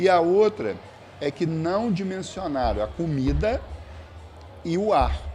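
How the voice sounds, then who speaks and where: A man speaks at a very slow pace, with long, frequent pauses and a high pitch. His intonation is lively, and there is noticeable background noise. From Brazil, Espírito Santo (Castelo). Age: 60s. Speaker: environmental scientist and professor. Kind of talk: podcast interview.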